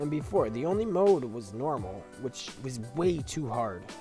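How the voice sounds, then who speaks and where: A man talks at a fairly slow pace with lively intonation. Music plays in the background. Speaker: gaming YouTuber. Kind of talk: casual game review to camera.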